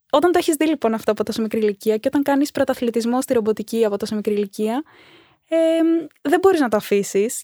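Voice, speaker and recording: A woman talks very fast at a fairly high pitch, with lively intonation and a dark, mellow tone, in a dry, close recording with no echo. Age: 20s. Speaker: robotics coach. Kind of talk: interview.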